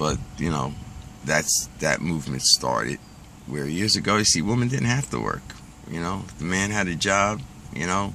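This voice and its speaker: Over noticeable background noise, a man's very deep, low voice makes very wide pitch swings. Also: moderate pace. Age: 60s. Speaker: pipe smoking vlogger. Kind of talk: casual monologue rant. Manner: conversational, filler-heavy.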